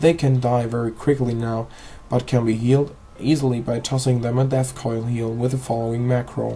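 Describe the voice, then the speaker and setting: A man's medium-pitched voice with a non-native accent and fairly even intonation. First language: not English. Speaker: gaming video creator. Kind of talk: tutorial. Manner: halting.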